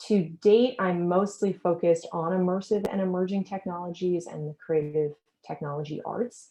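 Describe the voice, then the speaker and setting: Speaking in an American accent, a woman keeps a moderate pace. Her fairly low voice stays fairly even in intonation. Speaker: event host and curator. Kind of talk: webinar presentation. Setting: video call.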